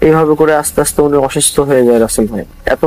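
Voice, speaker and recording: Over music in the background, a man speaks at a fairly high pitch with fairly even intonation. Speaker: guest sharing a supernatural experience. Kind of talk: casual spoken storytelling to a radio host.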